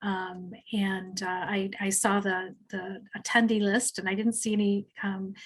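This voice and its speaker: Somewhat breathy, a woman speaks at a moderate pace with monotone, flat intonation. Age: 60s. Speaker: mental health counselor. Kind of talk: webinar presentation. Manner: halting, many fillers.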